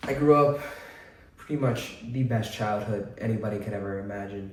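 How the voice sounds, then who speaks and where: An American accent at a moderate pace, with audible room echo and noticeable background noise. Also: man, fairly low pitch for a man, ordinary pitch variation. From central Massachusetts. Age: 20s. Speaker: vlogger. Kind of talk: personal testimony. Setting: at home. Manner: casual, hesitant with many fillers.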